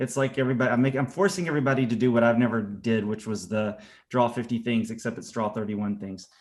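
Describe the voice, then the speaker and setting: A man with a Southern US accent at medium pitch and a fairly quick pace. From US South, Atlanta. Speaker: art teacher. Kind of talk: casual chat. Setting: video call.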